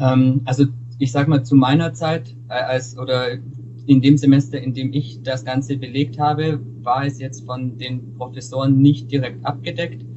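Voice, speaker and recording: Delivery comes at a moderate pace in a monotone, flat intonation. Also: man, medium pitch for a man. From Augsburg, Bavaria (Swabia), Germany. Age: 20s. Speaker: student and intern. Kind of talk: interview. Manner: halting, frequent repetitions.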